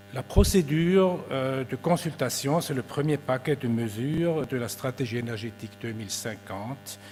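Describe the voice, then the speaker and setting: Over music in the background, someone with a Swiss German accent talks at a fairly slow pace with lively intonation. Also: man. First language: Swiss German (speaking French). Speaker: government energy official. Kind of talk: conference presentation. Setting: conference with audience. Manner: formal.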